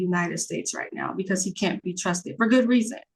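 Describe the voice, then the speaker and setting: The voice is somewhat breathy, with an American accent. The background is quiet. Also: woman. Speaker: podcast guest. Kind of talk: casual chat.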